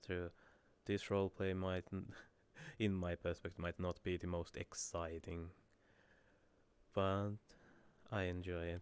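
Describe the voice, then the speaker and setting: A man with a Finnish accent speaks at a very deep, low pitch and a fairly slow pace, leaving long, frequent pauses in a monotone, flat intonation. The sound is dry and close with no echo, on a very clean recording with a silent background. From Finland. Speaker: streamer. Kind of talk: casual chat. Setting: live stream.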